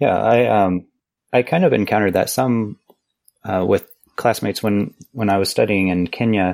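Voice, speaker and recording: A man with an American accent speaks in an unremarkable speaking voice at a fairly low pitch, at a moderate pace with ordinary pitch variation, on a very clean recording with a silent background and a dry, close sound with no echo. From US, Missouri. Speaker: language researcher, conlanger. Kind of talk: casual chat.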